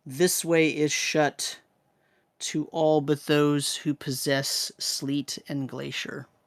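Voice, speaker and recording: In a put-on character voice, the speaker booms at a very slow pace, resonant and low-to-middle in pitch. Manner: ominous, grand.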